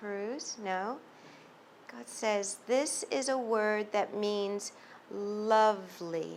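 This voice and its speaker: A woman talks at a very slow pace with ordinary pitch variation and big swings in loudness. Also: medium pitch for a woman. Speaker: psychic medium. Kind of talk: channeled reading to a live audience. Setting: bookstore event with audience. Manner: halting.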